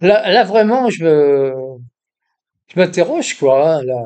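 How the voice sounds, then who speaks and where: A man speaks at a very slow pace. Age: 80s+. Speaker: YouTuber. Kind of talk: casual monologue. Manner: hesitant, many fillers and repetitions.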